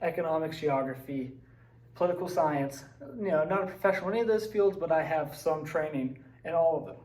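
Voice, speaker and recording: With an American accent, a man speaks in a fairly high voice with a dark, mellow tone and ordinary pitch variation, and audible room echo surrounds him. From West Virginia, Braxton County. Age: 20s. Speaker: social studies teacher. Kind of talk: personal presentation / slideshow talk. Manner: casual, with fillers and hesitations.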